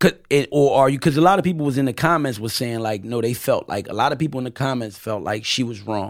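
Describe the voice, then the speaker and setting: Speaking very fast with hardly any pauses, a man keeps a medium pitch and ordinary pitch variation. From Camden, New Jersey, Puerto Rican family. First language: Spanish (bilingual). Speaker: rapper and guest. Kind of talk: casual chat.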